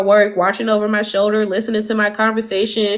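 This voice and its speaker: Speaking fairly quickly in a Southern US accent, a woman sounds animated, her pitch fairly high. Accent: American Southern. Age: 30s. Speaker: livestreamer. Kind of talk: casual chat. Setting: livestream.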